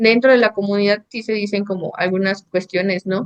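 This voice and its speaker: A woman speaks with a Mexican accent at a moderate pace. Her intonation is fairly even, and the sound is dry and close with no echo. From Mexico, Sierra de Zongolica, central Veracruz. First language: Nahuatl (speaking Spanish). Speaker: architect and painter. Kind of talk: interview conversation. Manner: hesitant, many fillers.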